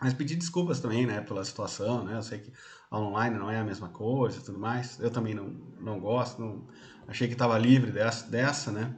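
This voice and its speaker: A man talks at a fairly quick pace and medium pitch, with ordinary pitch variation. His voice is somewhat breathy, and there is audible room echo. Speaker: university lecturer. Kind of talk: lecture. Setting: online class from home.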